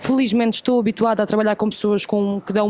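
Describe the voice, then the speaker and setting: At a very fast pace, a woman with a European Portuguese accent talks in a fairly high pitch with flat, monotone intonation over noticeable background noise. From Portugal. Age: 20s. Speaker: actress. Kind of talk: interview.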